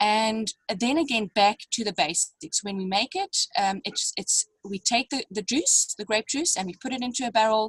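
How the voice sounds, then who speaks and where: A woman speaks at a moderate pace with a fairly high pitch and a somewhat breathy voice. The sound is dry and close, with no echo. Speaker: winemaker. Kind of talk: online wine tasting masterclass. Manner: halting, many fillers.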